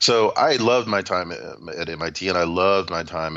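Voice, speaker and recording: In a Southern US accent, a man talks with ordinary pitch variation. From Atlanta, Georgia, US South. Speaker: computer science professor. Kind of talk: interview. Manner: frequent fillers and restarts.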